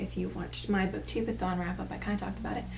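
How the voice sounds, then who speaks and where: A soft-spoken woman talks over noticeable background noise, with audible echo in the room. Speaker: booktuber. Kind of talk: casual book review vlog.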